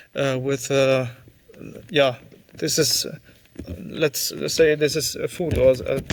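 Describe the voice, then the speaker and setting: A man's fairly high voice at a fairly slow pace, fairly even in intonation, with noticeable background noise. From southern Germany. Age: 30s. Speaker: sparkling wine producer. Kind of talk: interview. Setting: video call from production hall. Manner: halting, many fillers.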